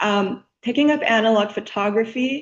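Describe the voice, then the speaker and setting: In a plain, everyday voice, a woman talks at a fairly slow pace and fairly high pitch with ordinary pitch variation against a quiet background. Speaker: student presenting a final project. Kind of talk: project presentation. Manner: frequent filler words (um).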